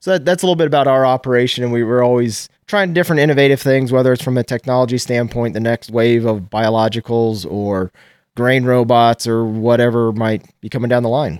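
In an American accent, an unremarkable speaking voice moves at a fairly quick pace with hardly any pauses and ordinary pitch variation, on a very clean recording with a silent background. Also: man, medium pitch for a man. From Nebraska. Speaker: farmer. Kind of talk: interview.

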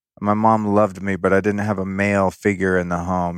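In a very clean recording with a silent background, a man with an American accent speaks in a very deep, low pitch, the sound dry and close with no echo. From Northern California (Sonoma County). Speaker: podcast host and former fashion stylist. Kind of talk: casual interview chat. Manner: casual, profane.

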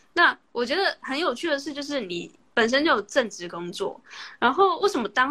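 At a moderate pace, a woman speaks with very wide swings in pitch. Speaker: podcast host interviewing via livestream. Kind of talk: casual interview chat. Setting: Instagram livestream call.

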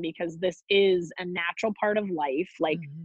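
Pitch variation is ordinary, and the pace is fairly slow. It is a plain, everyday voice. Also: woman. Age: 40s. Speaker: cancer survivor. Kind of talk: casual chat.

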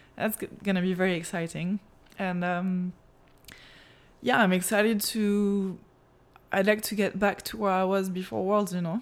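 A woman with a French accent speaks in a flat monotone, leaving long, frequent pauses. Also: medium pitch for a woman, moderate pace. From France. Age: 20s. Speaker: professional water skier. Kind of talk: interview.

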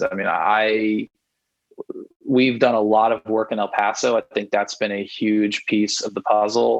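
A man with a Texan accent and a medium-pitched voice. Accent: Texan American. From Texas (Houston). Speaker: rock band singer and songwriter. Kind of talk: casual interview chat. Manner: rambling with frequent fillers and repeats.

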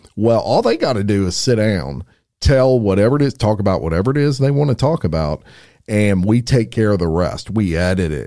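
The intonation is lively, with a dark, mellow tone. The recording is very clean, with a silent background. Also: man. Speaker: podcast producer and sponsor guest. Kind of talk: casual interview chat.

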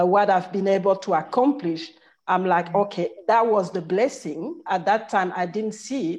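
Her voice sits at a medium pitch as this woman speaks. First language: not English. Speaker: managing director and consultant. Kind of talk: casual panel chat. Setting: video call.

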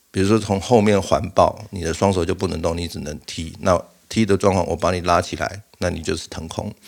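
Speaking at a moderate speed, this man has a fairly low voice. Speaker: podcast host. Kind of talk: casual monologue. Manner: halting, frequent fillers and repeats.

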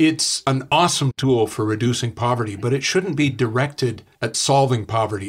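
Over a very clean recording with a silent background, a man with a Canadian accent uses a normal speaking voice, medium in pitch, at a moderate pace with ordinary pitch variation. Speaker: author. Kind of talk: interview.

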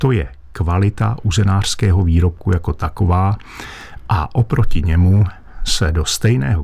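A man speaks fairly slowly in a very deep, low voice with ordinary pitch variation. His voice is somewhat breathy. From Lachia / Wallachia region, Moravia, Czechia. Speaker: master butcher. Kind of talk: radio advice show interview. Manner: formal.

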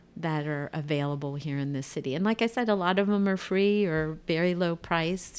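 This is a normal speaking voice from a woman with an American accent and fairly low pitch. She talks at a fairly quick pace with hardly any pauses and ordinary pitch variation. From Ohio, US. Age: 60s. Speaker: retiree guest. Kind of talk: casual interview chat.

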